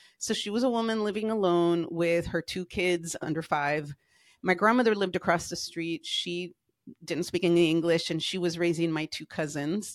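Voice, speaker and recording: In an unremarkable speaking voice, a woman with an American accent speaks at a fairly low pitch and a moderate pace. Her pitch variation is ordinary, and the recording is very clean with a silent background. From US, Mexican American family. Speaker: life coach. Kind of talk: casual interview chat.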